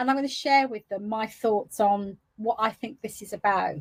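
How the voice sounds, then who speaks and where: A woman's voice sounds somewhat breathy and fairly high. She talks at a fairly quick pace. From England, West Midlands. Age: 60s. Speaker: entrepreneur. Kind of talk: interview.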